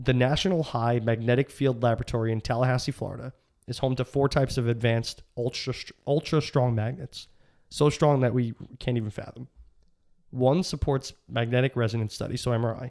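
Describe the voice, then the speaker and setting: A man speaks fairly quickly with a normal speaking voice, medium pitch and fairly even intonation. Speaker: podcast co-host. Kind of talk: casual chat.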